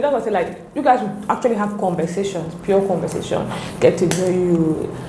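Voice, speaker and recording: A woman at a medium pitch speaks at a fairly quick pace with ordinary pitch variation. The clip has noticeable background noise and audible room echo. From Cameroon, French-speaking part. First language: French. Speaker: pharmacist and content creator. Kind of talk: interview. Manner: hesitant, searching for words.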